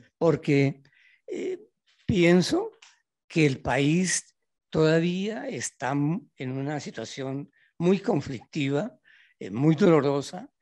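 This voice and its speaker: Over a quiet background, a man with a fairly high pitch talks very slowly with long, frequent pauses, lively intonation and big swings in loudness. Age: 80s+. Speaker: audience member, economist. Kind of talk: public Q&A comment. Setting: auditorium with audience.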